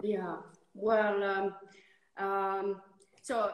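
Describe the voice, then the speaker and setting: A woman with an Italian accent, against noticeable background noise. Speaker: winemaker. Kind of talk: casual interview. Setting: instagram live video call. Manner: halting.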